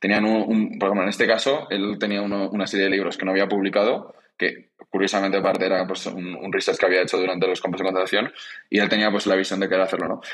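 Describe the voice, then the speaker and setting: A man speaks very fast in a fairly low pitch, his intonation monotone and flat. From Spain, Zaragoza. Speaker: startup co-founder. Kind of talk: interview. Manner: halting, frequent repetitions.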